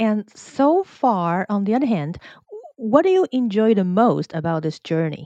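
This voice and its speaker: A dark, mellow tone with very wide swings in pitch. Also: woman, medium pitch for a woman, dry, close sound with no echo. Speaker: podcast host. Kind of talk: interview.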